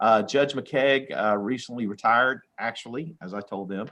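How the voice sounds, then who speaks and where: Over a quiet background, a man's bright, sharp voice moves with ordinary pitch variation. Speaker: judge. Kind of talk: court hearing. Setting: video call. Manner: fast.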